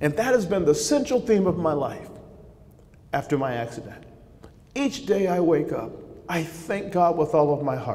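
A man with an American accent talks at a moderate pace and a fairly high pitch, with very wide pitch swings and long, frequent pauses. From Southern California. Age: 50s. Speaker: former baseball player and speaker. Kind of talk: faith testimony speech. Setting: stage with audience at breakfast event. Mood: earnest, reflective. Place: hall. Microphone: podium.

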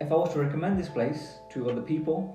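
A man talks at a fairly quick pace. Audible room echo and faint background music are present. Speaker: food reviewer. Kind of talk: casual vlog chat.

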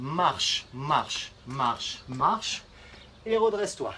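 Light background noise behind a man's voice. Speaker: fitness coach. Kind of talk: workout instruction. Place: garden. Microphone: camera far.

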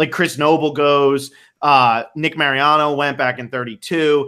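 Against a quiet background, a voice with an American accent carries a bright, sharp tone. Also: man. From New Jersey. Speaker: podcast host. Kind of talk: casual chat. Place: home room. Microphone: earbuds.

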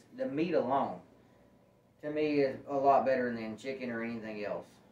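A man's voice at a moderate pace with fairly even intonation and audible room echo. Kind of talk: casual vlog chat. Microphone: camera far.

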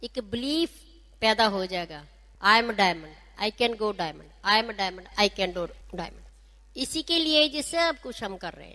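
At a moderate pace, a woman's bright, sharp voice makes very wide pitch swings and big swings in loudness. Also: fairly high pitch for a woman. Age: 60s. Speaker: doctor and direct-selling business leader. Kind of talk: motivational speech.

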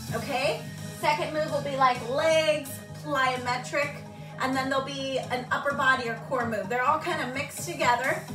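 With music playing in the background, the speaker uses a raised, projected voice and lively intonation. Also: woman. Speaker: fitness instructor. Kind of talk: live workout class instructions. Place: home room. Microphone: camera far.

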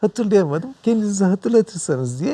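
Heard in a dry, close sound with no echo, a man speaks in a dark, mellow tone with lively intonation. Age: 50s. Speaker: professor of medicine. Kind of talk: TV health show interview.

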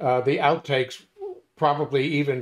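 A man speaks at a moderate pace. Nothing much stirs in the quiet background. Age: 60s. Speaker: podcast co-host. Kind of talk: casual chat. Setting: video call. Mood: warm, joking. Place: home room. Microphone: video call.

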